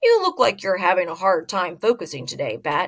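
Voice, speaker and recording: A woman uses a put-on character voice that is raspy and of medium pitch. She speaks at a fairly quick pace. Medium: read story. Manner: calm, gently teasing.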